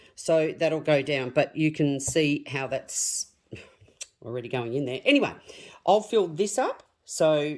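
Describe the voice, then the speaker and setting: Her pitch is very deep and low for a woman. She speaks at a fairly slow pace. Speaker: craft tutorial creator. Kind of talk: tutorial. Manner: casual, chatty.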